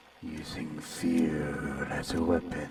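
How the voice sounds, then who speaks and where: A man puts on a character voice that is very deep and low, with monotone, flat intonation. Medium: audio drama. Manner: calm, unsettling, condescending.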